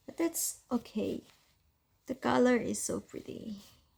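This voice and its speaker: Speaking at a fairly slow pace, a woman with a non-native accent has a high pitch and a dark, mellow tone. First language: not English. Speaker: fountain pen ink reviewer. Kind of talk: casual chatty swatching tutorial.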